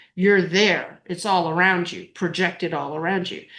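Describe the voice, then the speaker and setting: A woman with an ordinary speaking voice talks at a moderate pace and a fairly low pitch. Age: 60s. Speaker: near-death experiencer and author. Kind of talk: interview testimony.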